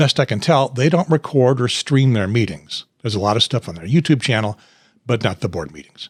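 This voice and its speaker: A man speaks fairly quickly in a somewhat breathy voice at a medium pitch, with lively intonation and big swings in loudness. The recording is very clean with a silent background, dry and close with no echo. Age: 70s. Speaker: political party podcast host. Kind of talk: casual chat and scripted outro. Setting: home studio.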